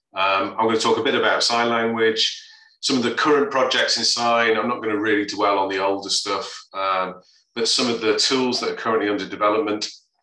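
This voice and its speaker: Audible room echo surrounds this man's medium-pitched voice. His intonation is fairly even and his pace fairly quick. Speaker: computer vision researcher. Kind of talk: lecture.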